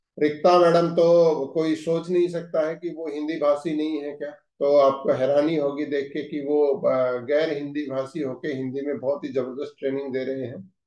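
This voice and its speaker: This man has a Haryanvi accent and a fairly high pitch, with a dark, mellow tone. His intonation is fairly even, and he leaves hardly any pauses. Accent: Haryanvi-accented Hindi. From Haryana, India. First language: Haryanvi (speaking Hindi). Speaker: managing director of a direct-selling company. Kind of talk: corporate training session address.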